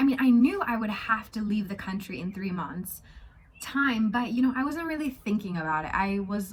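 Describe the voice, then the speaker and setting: A woman with an American accent speaks at a moderate pace and medium pitch. Her somewhat breathy voice carries lively intonation. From United States. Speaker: travel vlogger. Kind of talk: casual vlog storytime. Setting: at home in a house. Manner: chatty, informal.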